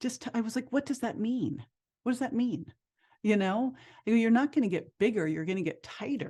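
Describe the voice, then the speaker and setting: A woman's somewhat breathy, fairly high voice, dark and mellow in tone, at a moderate pace with lively intonation. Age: 50s. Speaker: health and fitness expert. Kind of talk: interview conversation.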